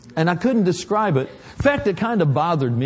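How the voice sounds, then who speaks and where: A high-pitched man at a very fast pace. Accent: American. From Oklahoma. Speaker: visiting preacher. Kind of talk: sermon; prayer. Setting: church with congregation. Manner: animated.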